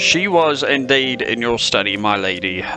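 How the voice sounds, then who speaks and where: A man's put-on character voice at medium pitch and moderate pace, with loud music in the background. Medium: audio drama. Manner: formal, dry.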